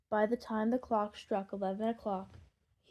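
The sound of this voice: An unforced reading voice moves in fairly even intonation over a quiet background.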